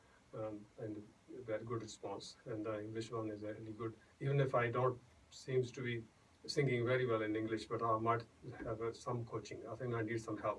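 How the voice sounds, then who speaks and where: A man with a Punjabi accent talks at a fairly quick pace in a medium pitch, his voice somewhat breathy. His intonation is monotone and flat, broken by long, frequent pauses. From India, Punjab. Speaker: singer-songwriter and doctor. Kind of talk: radio interview. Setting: radio studio. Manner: halting, many fillers and restarts.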